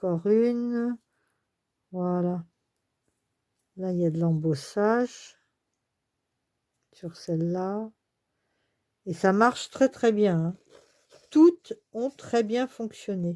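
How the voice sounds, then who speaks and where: A woman talks at a very slow pace with long, frequent pauses, her medium pitch showing ordinary variation. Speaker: scrapbooking crafter. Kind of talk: casual craft review to camera.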